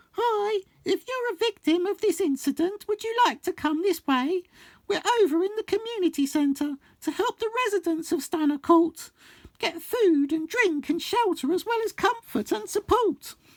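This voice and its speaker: A man speaks at a moderate pace in a put-on character voice that is squeaky and extremely high-pitched, with a warm tone. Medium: read story. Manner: warm, polite.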